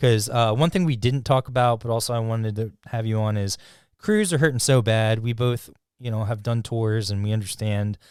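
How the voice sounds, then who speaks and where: A man with a plain, everyday voice at a fairly quick pace, fairly even intonation, on a very clean recording with a silent background. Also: medium pitch for a man. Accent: American. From USA. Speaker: podcast host. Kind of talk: casual chat.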